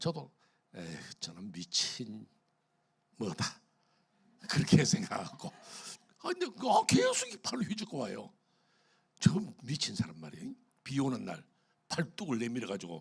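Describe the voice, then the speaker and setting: A man's voice swings very widely in pitch and heavily in loudness. He talks at a fairly slow pace with long, frequent pauses. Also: medium pitch for a man. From Korea, Gyeongsang region. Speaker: pastor. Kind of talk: sermon. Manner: animated.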